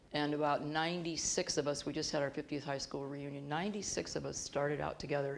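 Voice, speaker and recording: In an American accent, a woman with a very deep, low pitch talks at a fairly quick pace in a monotone, flat way, with audible room echo. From US Midwest, Bloomington, Illinois. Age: 60s. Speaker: professor. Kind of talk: interview on stage. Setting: auditorium stage with audience.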